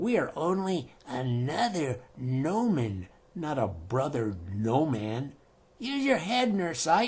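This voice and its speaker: In a put-on character voice, the speaker goes very slowly at a low-to-middle pitch with very wide pitch swings. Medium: read story. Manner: blunt, barking.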